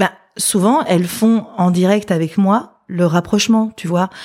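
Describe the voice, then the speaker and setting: A woman's medium-pitched voice carries a dark, mellow tone and ordinary pitch variation. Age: 50s. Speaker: psychologist. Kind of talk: casual interview chat.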